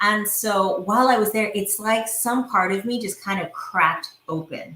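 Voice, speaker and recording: An animated tone in an American accent at a moderate pace, with ordinary pitch variation. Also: woman, fairly high pitch for a woman. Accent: sounds American. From India. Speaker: entrepreneur and visionary coach. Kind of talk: casual interview conversation. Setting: podcast recording.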